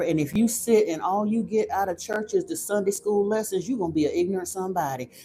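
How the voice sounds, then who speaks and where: Over music in the background, a woman with an American accent talks at a fairly quick pace. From Florida, US. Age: 50s. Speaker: livestream host, spiritual channel. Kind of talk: casual live-stream chat. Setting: live stream. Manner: animated.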